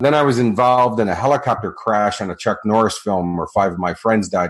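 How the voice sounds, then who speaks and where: Talking at a fairly quick clip, a man with a Chicago accent uses ordinary pitch variation. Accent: American (Chicago). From US Midwest, Chicago. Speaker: motivational speaker and coach. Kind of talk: interview.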